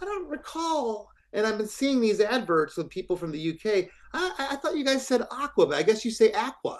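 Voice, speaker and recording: An extremely high-pitched man with an American accent, very wide pitch swings and a fairly quick pace. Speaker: rock band singer and guitarist. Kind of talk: interview. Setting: video call.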